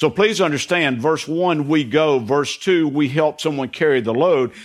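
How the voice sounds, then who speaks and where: A man with a normal speaking voice talks at a moderate pace, his fairly high pitch showing ordinary variation. The background is quiet. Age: 60s. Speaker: pastor. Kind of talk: sermon. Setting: church.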